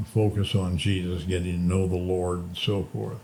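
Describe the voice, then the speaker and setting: Here a man speaks at a moderate pace, very deep and low in pitch. His tone is dark and mellow, and somewhat breathy. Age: 80s+. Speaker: former basketball coach and sports administrator. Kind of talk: interview answer.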